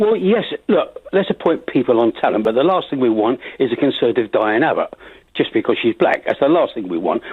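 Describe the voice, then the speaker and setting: A man with a London accent speaks at a fairly quick pace. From London, Finsbury Park. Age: 80s+. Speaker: caller. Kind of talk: radio phone-in.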